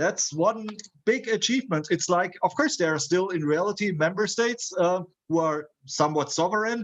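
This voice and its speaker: A man's high voice with ordinary pitch variation and a German accent. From Germany. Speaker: university lecturer. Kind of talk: lecture. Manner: halting, frequent fillers.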